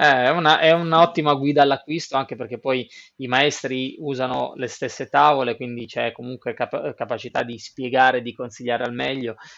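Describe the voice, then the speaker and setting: In a plain, everyday voice, a man speaks fairly quickly with a medium pitch and fairly even intonation. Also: big swings in loudness. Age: 40s. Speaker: snowboard instructor and brand representative. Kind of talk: casual interview.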